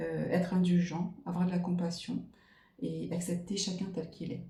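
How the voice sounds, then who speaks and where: Slowish and fairly even in intonation, the voice shows vocal fry, with audible room echo. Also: woman. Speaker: tarot card reader. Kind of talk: card reading monologue. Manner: hesitant, many fillers.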